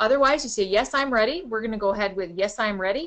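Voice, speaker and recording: Speaking very fast, a woman with a fairly high pitch shows ordinary pitch variation. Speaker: webinar presenter. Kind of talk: product demo webinar. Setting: online webinar with screen share.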